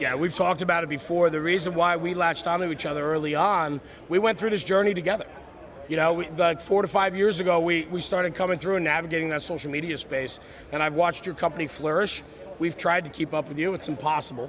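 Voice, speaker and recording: A loud, high-pitched man at a very fast pace with fairly even intonation, over noticeable background noise. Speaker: podcast host. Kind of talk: live stream interview. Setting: trade show booth.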